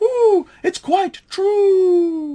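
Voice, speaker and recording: A man's squeaky, put-on character voice at an extremely high pitch. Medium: read story. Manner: hooting 'ooh' interjections.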